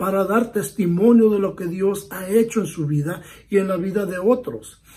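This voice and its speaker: The man's voice is high-pitched, with a dark, mellow tone. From United States. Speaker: pastor. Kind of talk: bible study. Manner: earnest, pleading.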